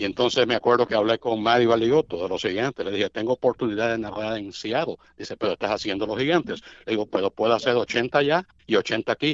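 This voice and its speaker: At a very fast pace with hardly any pauses, a man talks in a medium pitch with ordinary pitch variation, the sound dry and close with no echo over a quiet background. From Cuba. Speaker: baseball radio play-by-play announcer. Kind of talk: casual interview chat.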